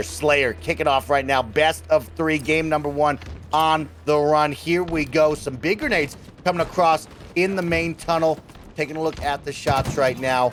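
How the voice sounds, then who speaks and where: Amid noticeable background noise, a man talks at a moderate pace with fairly even intonation and a fairly high pitch. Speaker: esports shoutcaster. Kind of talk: esports shoutcast commentary.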